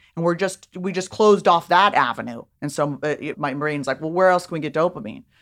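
A woman talks at a fairly quick pace with hardly any pauses. Her fairly low voice has vocal fry and ordinary pitch variation. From Los Angeles, California. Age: 50s. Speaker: author and journalist in recovery. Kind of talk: casual interview.

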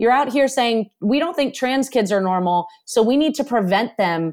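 A woman's animated voice with very wide pitch swings at a fairly slow pace, on a very clean recording with a silent background. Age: 30s. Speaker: author and activist. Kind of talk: interview.

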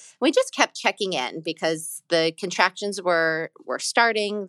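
A woman with an American accent speaks at a moderate pace in a fairly low pitch, her tone bright and sharp with lively intonation. The sound is dry and close with no echo, over a quiet background. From US South, Atlanta, Georgia. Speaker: schoolteacher and mother. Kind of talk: testimony.

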